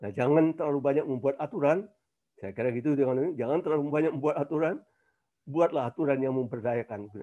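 A man's very fast speech at a fairly high pitch, dark and mellow in tone, with ordinary pitch variation against a quiet background. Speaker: professor. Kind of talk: webinar talk.

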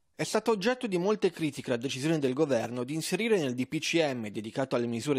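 A man talks at a very fast pace with lively intonation. The recording is very clean and dry, close and echo-free, over a silent background. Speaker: news anchor. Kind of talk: news reading. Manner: formal, even-paced newsreader delivery.

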